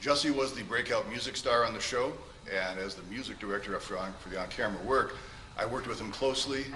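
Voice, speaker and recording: A man talks in a room with audible echo, and background noise is noticeable throughout. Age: 60s. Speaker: character witness, music director. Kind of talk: courtroom testimony. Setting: courtroom.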